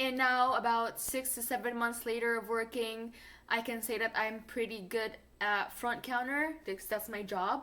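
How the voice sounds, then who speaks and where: A woman with a non-native accent talks at a moderate pace in a fairly high pitch, her tone bright and sharp and her intonation fairly even. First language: not English. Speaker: fast food worker and vlogger. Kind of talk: casual vlog advice.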